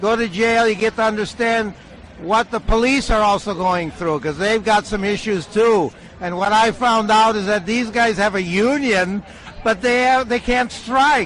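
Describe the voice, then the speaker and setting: A man speaks with a high voice at a moderate pace. His pitch varies in an ordinary way, and there is noticeable background noise. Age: 60s. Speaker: monk activist. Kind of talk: casual chat.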